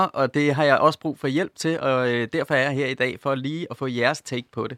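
With hardly any pauses, a man with a fairly high pitch and a bright, sharp tone speaks at a moderate pace and fairly even intonation, in a dry, close, very clean recording with no echo and a silent background. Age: 40s. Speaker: corporate sustainability manager. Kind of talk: radio panel discussion. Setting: studio.

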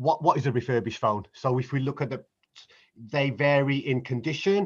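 A man with a fairly high pitch talks at a moderate speed. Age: 50s. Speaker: business founder. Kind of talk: interview. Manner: halting.

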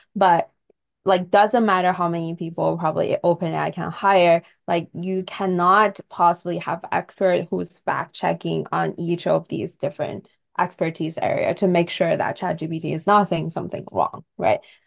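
In a Chinese accent, a woman speaks at a moderate pace. The background is quiet. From China. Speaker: tech company co-founder and CTO. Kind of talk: casual interview chat.

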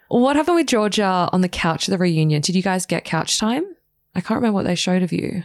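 Lively intonation and an animated tone mark a woman speaking with an Australian accent at a very fast pace. Her loudness stays very even. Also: medium pitch for a woman. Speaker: podcast host. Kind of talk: casual interview chat.

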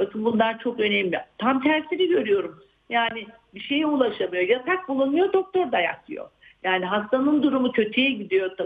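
Pitch leaps across a very wide range, though the pace stays moderate. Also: woman, high pitch for a woman. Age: 60s. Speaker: psychiatrist. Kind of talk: interview.

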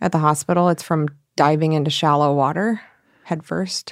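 In an unremarkable speaking voice, a woman with an American accent talks at a fairly quick pace with fairly low pitch and fairly even intonation, recorded very clean and dry, close with no echo, against a silent background. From Michigan. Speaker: podcast host, reporter. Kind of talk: documentary narration mixed with casual conversation.

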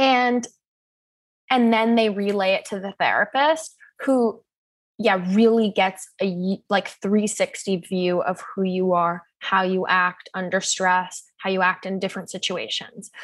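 A woman with an unremarkable speaking voice at medium pitch, ordinary pitch variation and a fairly slow pace, over a quiet background. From US Pacific Northwest (Seattle). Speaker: sex educator and mental health advocate. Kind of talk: casual interview chat.

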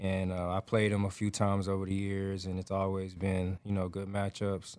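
This man has a fairly low pitch and speaks with an American accent. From US South, Atlanta, Georgia. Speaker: pro football player. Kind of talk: casual interview.

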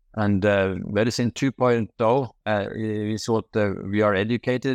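Against a quiet background, a man with a Norwegian accent speaks at a fairly low pitch in a dry, close sound with no echo. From Norway. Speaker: medical doctor. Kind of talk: interview. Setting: video call. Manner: halting.

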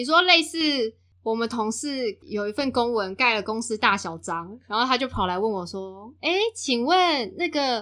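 With a Taiwanese accent, a woman speaks in a bright, sharp tone with very wide pitch swings, recorded very cleanly against a silent background. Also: fairly high pitch for a woman, moderate pace. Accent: Taiwanese Mandarin. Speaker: podcast co-host. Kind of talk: casual chat.

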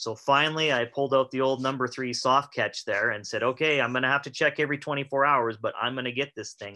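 Against a quiet background, the speaker rushes at a very fast pace with hardly any pauses, in an Albertan accent, with a bright, sharp tone and monotone, flat intonation. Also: man, fairly high pitch for a man. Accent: Canadian (Alberta). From Alberta, Canada (rural, west of Calgary). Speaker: chiropractor and trapper. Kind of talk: casual interview chat.

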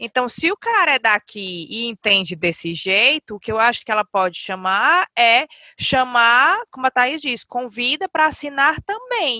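A woman with a high pitch and a bright, sharp tone speaks at a fairly slow pace with very wide pitch swings and hardly any pauses, the sound dry and close with no echo. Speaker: podcast host. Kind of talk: casual chat.

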